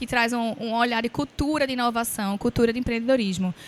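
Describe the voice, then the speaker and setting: A woman speaks with a high voice. She moves at a fairly quick pace. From Pernambuco, Brazil. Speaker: innovation center representative, panelist. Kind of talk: panel discussion. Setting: stage with audience at forum.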